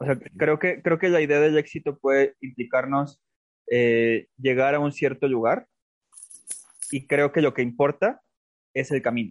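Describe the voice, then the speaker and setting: The sound is dry and close, with no echo, as a man speaks at a fairly slow pace with a fairly high pitch. He takes long, frequent pauses, and his pitch varies in an ordinary way. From Mexico, Aguascalientes. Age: 20s. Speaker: writer and theatre artist. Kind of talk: interview.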